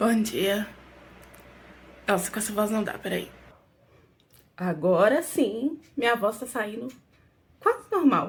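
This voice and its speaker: Very slow, somewhat breathy speech with lively intonation and long, frequent pauses. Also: woman, fairly high pitch for a woman. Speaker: vlogger. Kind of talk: casual vlog talk.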